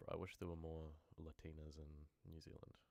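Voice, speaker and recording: This man's voice sits very deep and low. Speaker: horror story narrator. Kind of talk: live stream chat. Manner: casual.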